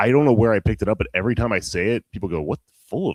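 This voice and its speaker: A man with a fairly low voice and vocal fry, very fast and with very wide pitch swings, in a dry, close sound without echo. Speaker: podcast host. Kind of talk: casual chat. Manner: animated.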